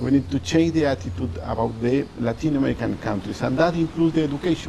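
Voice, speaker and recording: A man with a Mexican accent talks at a very fast pace and medium pitch. His pitch swings very widely over noticeable background noise. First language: Spanish. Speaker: diplomat. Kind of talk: interview. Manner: halting.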